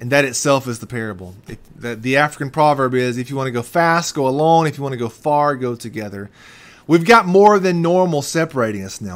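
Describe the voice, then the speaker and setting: The intonation is lively. A man delivers it at a fairly quick pace. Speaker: pastor. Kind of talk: sermon. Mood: earnest, encouraging. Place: office. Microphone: webcam.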